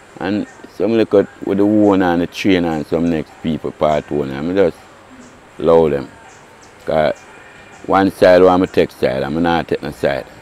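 Against noticeable background noise, a man with a very deep, low voice speaks at a moderate pace with ordinary pitch variation and long, frequent pauses. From Jamaica. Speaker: racehorse groom. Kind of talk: interview.

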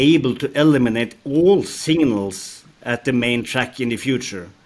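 A man with a Norwegian accent, fairly high in pitch, with ordinary pitch variation and a fairly slow pace. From Norway. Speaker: rail company executive, former signaling engineer. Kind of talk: interview. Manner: halting, many fillers. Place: office. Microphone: headset.

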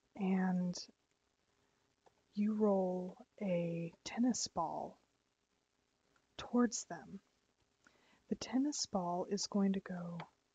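Whispering and soft-spoken, the voice moves at a very slow pace. Long pauses come often. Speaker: ASMR creator and streamer. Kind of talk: ASMR educational talk while gaming. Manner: whispered, soft-spoken.

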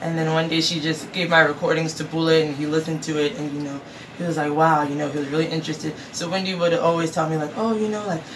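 Speaking at a fast pace, a woman with a low pitch and fairly even intonation is heard over clear background noise.

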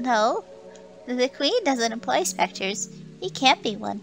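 A female-sounding voice performs a put-on character voice at a fairly high pitch and a fairly slow pace. Clear music plays in the background. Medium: game stream. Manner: timid, deferential.

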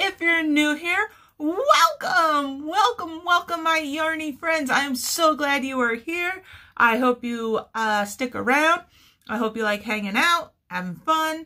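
At a fairly slow pace, a woman speaks in a raised, projected voice. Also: lively intonation, quiet background. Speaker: crochet channel host. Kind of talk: casual vlog chat. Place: home room. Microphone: phone near.

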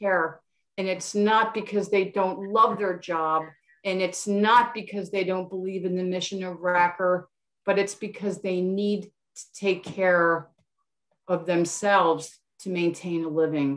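A woman talks at a fairly slow pace with fairly even intonation against a quiet background. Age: 60s. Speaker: community support professional. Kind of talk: community forum question. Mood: earnest, concerned. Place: home room. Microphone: webcam.

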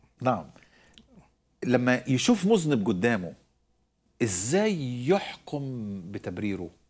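Pausing long and often, a man speaks at a very slow pace with very wide pitch swings. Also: medium pitch for a man. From Egypt. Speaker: preacher and Bible teacher; preacher, Bible teacher. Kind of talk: Bible teaching. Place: studio. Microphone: lapel.

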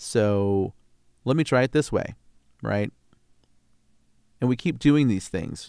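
A man's fairly slow delivery, dry with no echo, over a quiet background. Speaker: voice actor. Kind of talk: casual talk to camera. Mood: earnest, encouraging. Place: home room. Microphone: studio mic.

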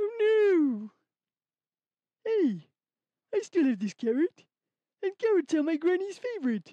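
Extremely high-pitched cartoonish character voice at a fairly slow pace, with very wide pitch swings and long, frequent pauses. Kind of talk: children's puppet show. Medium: puppet.

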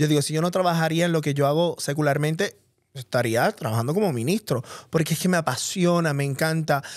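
On a very clean recording with a silent background, a man with a Puerto Rican accent talks fairly quickly at a fairly high pitch, with ordinary pitch variation and very even loudness. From Puerto Rico. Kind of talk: casual chat.

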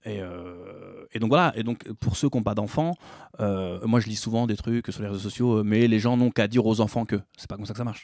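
Fairly quick and fairly low-pitched, a man speaks with fairly even intonation. The sound is dry and close with no echo. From Paris suburbs (Bobigny). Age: 40s. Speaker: musician and theatre actor. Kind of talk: interview conversation.

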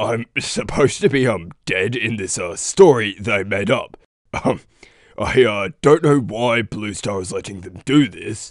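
Using a cartoonish character voice at a medium pitch, a man talks at a fairly slow pace. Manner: gruff, scornful.

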